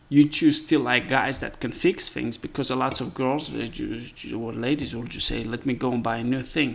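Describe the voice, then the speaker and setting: This man talks at a moderate pace with fairly even intonation and vocal fry. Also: medium pitch for a man. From Moldova. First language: Romanian. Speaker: carpenter. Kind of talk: casual chat.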